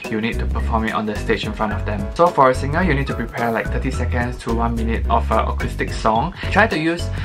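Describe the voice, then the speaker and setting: A man's very deep, low voice at a very fast pace with hardly any pauses, over clear background music. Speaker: audition tips vlogger. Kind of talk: tutorial. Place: home room.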